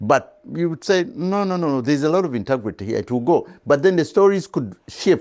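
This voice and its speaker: A man with a fairly high pitch talks at a very fast pace with lively intonation. He leaves long, frequent pauses. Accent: African. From Uganda. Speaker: veteran journalist. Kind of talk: interview. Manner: halting.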